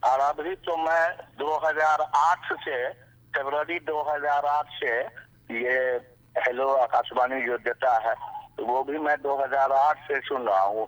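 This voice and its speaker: A man's voice sits fairly high, with fairly even intonation. The sound is dry and close with no echo, and there is noticeable background noise. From India, Bihar (Darbhanga district). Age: 70s. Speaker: radio listener, shopkeeper and farmer. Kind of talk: interview testimony.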